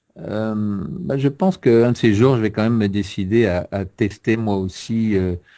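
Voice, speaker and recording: In a very clean recording with a silent background, a man with a dark, mellow tone speaks at a moderate pace, his fairly low pitch showing ordinary variation. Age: 60s. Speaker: publisher and author, guest expert. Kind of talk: interview. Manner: hesitant, many fillers.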